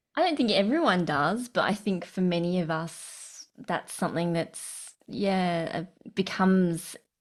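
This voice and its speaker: On a very clean recording with a silent background, the woman's pitch varies in an ordinary way. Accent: Australian. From Sydney, Australia. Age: 40s. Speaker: breathwork facilitator and coach. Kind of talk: casual interview.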